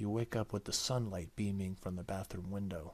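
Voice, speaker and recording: This man is soft-spoken with a fairly low pitch. His intonation stays monotone and flat. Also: very clean recording, silent background. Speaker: gaming YouTuber. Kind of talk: let's play visual novel reading.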